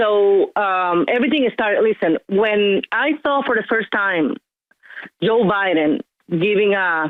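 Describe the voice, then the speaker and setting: With a Venezuelan accent, a woman speaks with lively intonation. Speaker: caller. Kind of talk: call-in talk radio.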